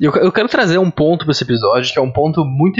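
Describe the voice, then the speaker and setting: The man's voice sits fairly high in pitch and varies in an ordinary way. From Rio Grande do Sul, southern Brazil. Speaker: podcast host. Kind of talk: casual chat.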